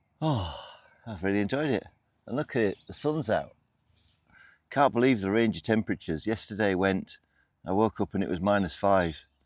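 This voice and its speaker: The sound is dry and close with no echo. A man talks at a moderate pace and a fairly low pitch. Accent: British. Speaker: outdoor camping vlogger. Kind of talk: casual vlog to camera.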